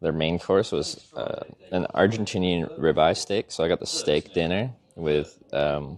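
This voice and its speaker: Fairly slow and very deep, a man's voice with a Canadian accent shows ordinary pitch variation. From Canada, British Columbia (Vancouver Island). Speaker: travel vlogger / streamer. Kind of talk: casual live-stream chat. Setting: outdoors, cycling tour in Europe. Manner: hesitant, many fillers.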